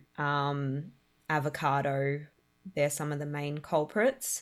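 On a very clean recording with a silent background, a woman speaks very slowly in a very deep, low voice. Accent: Australian. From Australia, Melbourne. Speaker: caterer and food truck owner. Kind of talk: interview testimony. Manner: halting, many fillers.

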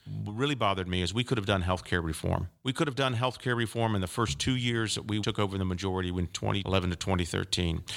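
This man, with an American accent, talks at a fairly quick pace in a fairly low pitch with ordinary pitch variation and a bright, sharp tone. The recording is very clean, with a silent background. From Central Florida, Polk County. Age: 60s. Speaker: former congressman and lawyer. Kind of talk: interview. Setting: studio.

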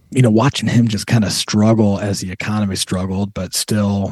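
In a dry, close recording with no echo and a quiet background, a man speaks at a moderate pace in a fairly low pitch with monotone, flat intonation. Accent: American. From Toledo, Ohio. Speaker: retirement coach and army veteran. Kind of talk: casual interview.

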